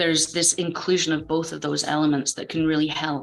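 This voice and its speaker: A woman speaks with a Scottish accent at a moderate pace. Noticeable background noise runs beneath her voice. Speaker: game design speaker. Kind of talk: conference talk.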